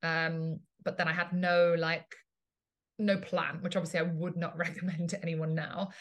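The speaker talks in an English accent with monotone, flat intonation. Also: woman. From England. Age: 30s. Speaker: business and marketing coach. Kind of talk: casual chat.

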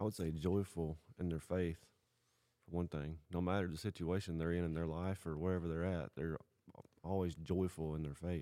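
Speaking in a Tennessee accent, a man uses a very deep, low pitch with monotone, flat intonation at a moderate pace. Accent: Southern US (Tennessee). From US South, Southwest Tennessee. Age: 30s. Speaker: guest, hunter. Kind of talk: testimony. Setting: studio shop.

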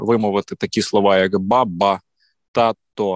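A man talks at a fairly slow pace with ordinary pitch variation. The recording is very clean and dry, close with no echo and a silent background. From Ukraine, Volyn. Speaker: radio host and event MC. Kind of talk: casual chat.

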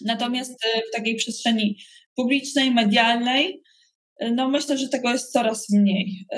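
In a high pitch, a woman talks at a fairly slow pace. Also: fairly even intonation. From Poland, Koszalin (West Pomerania). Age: 40s. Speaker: leadership trainer and entrepreneur. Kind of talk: interview.

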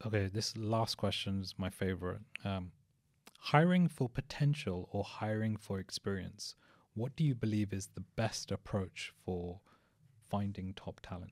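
This is a normal speaking voice from a man with ordinary pitch variation. He talks at a fairly slow pace. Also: fairly low pitch for a man. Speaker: podcast co-host. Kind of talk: casual interview chat.

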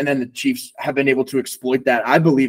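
A man talks very fast at a medium pitch with an American accent. The sound is dry and close, with no echo. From Long Island, New York. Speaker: podcast co-host, football fan. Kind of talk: casual sports chat.

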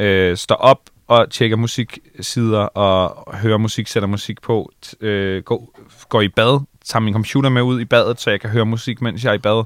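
In a very clean recording with a silent background, a man speaks fairly slowly, his fairly low voice keeping a fairly even intonation. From Bornholm, Denmark (Allinge). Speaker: radio host and DJ. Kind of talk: casual interview. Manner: halting, many fillers and repetitions.

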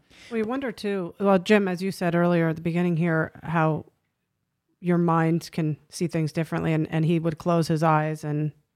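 An unremarkable speaking voice from a woman, fairly low in pitch with fairly even intonation and a moderate pace, on a very clean recording with a silent background. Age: 50s. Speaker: podcast co-host. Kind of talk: casual interview.

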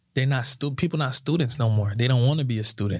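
A man with an American accent talks at a medium pitch, somewhat breathy, in a dry, close sound with no echo. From South Florida (Sunrise), Haitian parents. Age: 20s. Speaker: insurance agency owner, entrepreneur. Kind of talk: casual interview chat.

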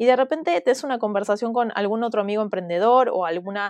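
A woman talks at a fairly quick pace in a normal speaking voice, medium in pitch with ordinary pitch variation and a dry, close sound with no echo. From Argentina, Buenos Aires (teen years in Mexico). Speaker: entrepreneur, community founder. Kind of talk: interview.

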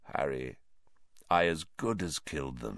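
A put-on character voice sounds hoarse and croaky. It moves at a fairly slow pace. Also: man.

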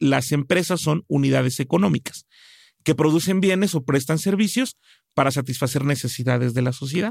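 On a very clean recording with a silent background and a dry, close sound with no echo, a man with an unremarkable speaking voice speaks at a fairly high pitch and moderate pace, with ordinary pitch variation and very even loudness. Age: 40s. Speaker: business consultant. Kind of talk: interview.

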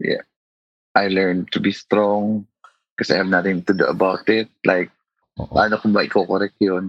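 In a Filipino accent, a man with a fairly low voice speaks at a moderate pace in a flat monotone, with long, frequent pauses. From Philippines. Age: 40s. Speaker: schoolteacher. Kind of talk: therapy interview.

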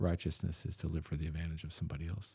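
A man speaks at a very fast pace with a Texan accent. His very deep, low voice has a dark, mellow tone and is somewhat breathy. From Texas (Austin, Eastland). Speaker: pastor. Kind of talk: casual interview.

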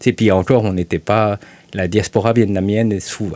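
A man's fairly low, dark, mellow voice moves at a moderate pace with fairly even intonation, and the sound is dry and close with no echo. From Belgium, raised in Quebec from childhood. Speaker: journalist. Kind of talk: casual interview.

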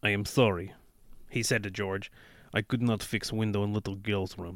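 The speaker reads in an unforced reading voice.

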